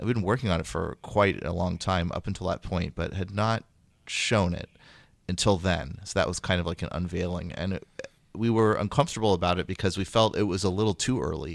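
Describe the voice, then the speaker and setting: At a fairly quick pace, a man with a Californian accent speaks at a very deep, low pitch with ordinary pitch variation, in a very clean recording with a silent background. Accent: American (Californian). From Northern California (Sacramento). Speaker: game designer. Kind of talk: interview.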